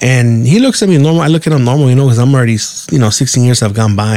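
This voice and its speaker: A man talks in an American accent over noticeable background noise. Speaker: podcast host. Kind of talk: casual storytelling monologue.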